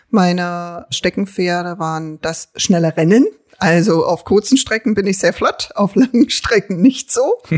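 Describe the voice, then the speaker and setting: A woman has a normal speaking voice at a medium pitch. She talks at a fairly slow pace, and the sound is dry and close with no echo. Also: ordinary pitch variation. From Berlin, Treptow-Köpenick. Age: 50s. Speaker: local politician and social worker. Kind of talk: casual interview.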